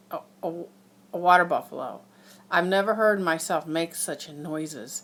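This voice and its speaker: Pitched fairly low, a woman speaks in a bright, sharp tone with ordinary pitch variation. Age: 60s. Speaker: horse farm worker sharing illness experience. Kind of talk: personal testimony vlog. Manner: casual, hesitant with fillers.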